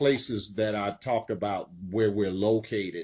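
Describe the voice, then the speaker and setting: A man is talking. He keeps to a fairly slow tempo. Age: 60s. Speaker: preacher and show host. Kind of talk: sermon. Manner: hesitant, many fillers.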